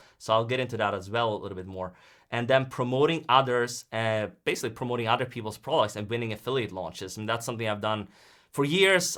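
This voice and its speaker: A man with a Swedish accent at a very fast pace, medium pitch and ordinary pitch variation, his tone bright and sharp. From Sweden. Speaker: online business coach. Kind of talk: live-streamed webinar presentation. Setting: live stream.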